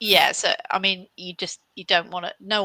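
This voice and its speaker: The voice has a British accent and a bright, sharp tone. Its intonation is monotone and flat, recorded dry and close with no echo. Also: woman. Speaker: career coach and CV expert. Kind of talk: live webinar Q&A advice. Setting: live stream with online audience.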